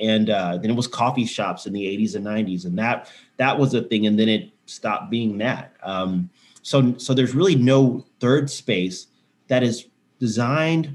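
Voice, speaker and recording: In a Texan accent, a man talks at a moderate pace and medium pitch with lively intonation, recorded very cleanly against a silent background. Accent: Texan American. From Texas, Houston. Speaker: sober bar owner and counsellor. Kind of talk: testimony in interview.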